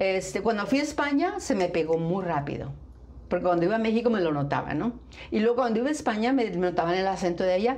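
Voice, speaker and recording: Over noticeable background noise and audible room echo, a woman at medium pitch talks at a very fast pace with lively intonation and very even loudness. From northern Mexico, Nuevo León. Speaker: flamenco dancer and festival founder. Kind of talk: interview.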